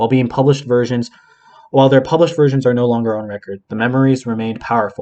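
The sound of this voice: With fairly even intonation, the reading voice stays unforced.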